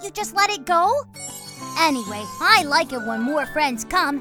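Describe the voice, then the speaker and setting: A cartoonish character voice performs the lines. Loud music plays in the background. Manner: excitable, boastful.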